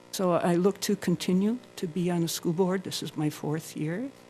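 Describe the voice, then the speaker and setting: A woman speaks at a moderate pace. Her fairly low pitch shows ordinary variation. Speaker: school board candidate. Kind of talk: candidate forum speech. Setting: public forum with audience.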